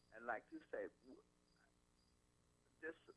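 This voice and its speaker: A man is speaking. His pace is very slow. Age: 60s. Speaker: caller. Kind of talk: call-in testimony. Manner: halting, repeating words.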